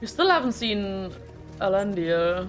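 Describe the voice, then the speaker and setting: A woman with a German accent speaks at a very slow pace over music in the background. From Germany. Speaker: reaction youtuber. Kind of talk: reaction commentary.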